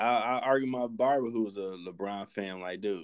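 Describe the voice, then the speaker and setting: This man speaks at a medium pitch, with ordinary pitch variation. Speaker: podcast host. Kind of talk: casual interview. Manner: animated.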